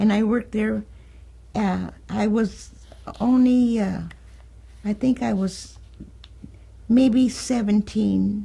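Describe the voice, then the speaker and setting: With an American accent, a woman talks at a very slow pace. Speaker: oral history interviewee. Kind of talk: oral history interview. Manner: halting, many fillers.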